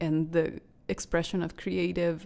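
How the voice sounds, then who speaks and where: A woman's fairly low, monotone, flat voice with a non-native accent at a fairly slow pace, on a very clean recording with a silent background. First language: not English. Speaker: podcast host, astrologer and painter. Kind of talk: solo podcast monologue. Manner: halting, with false starts; warm, gentle.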